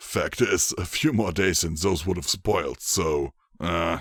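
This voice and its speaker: A man puts on a raspy character voice, very deep and low in pitch, speaking at a fairly slow pace with ordinary pitch variation. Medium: read story. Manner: easygoing, chuckling, amiable.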